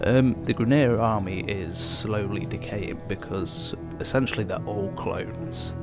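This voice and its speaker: Over background music, a man with a fairly low voice talks with lively intonation. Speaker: gaming commentator. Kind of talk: game overview voice-over.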